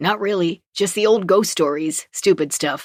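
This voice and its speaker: A growling, put-on character voice at a middle pitch moves along at a moderate pace. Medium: read story. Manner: casual, plain-spoken.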